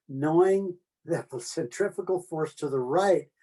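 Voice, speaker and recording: With a Pacific Northwest accent, a man speaks in a dark, mellow tone. His pitch varies in an ordinary way. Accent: General American, Pacific Northwest. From US Pacific Northwest (Oregon). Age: 80s+. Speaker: retiree telling life stories. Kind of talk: personal storytelling interview. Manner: halting, with many fillers and repetitions.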